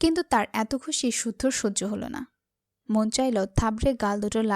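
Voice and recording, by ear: Reading aloud in a natural voice, with ordinary pitch variation over a quiet background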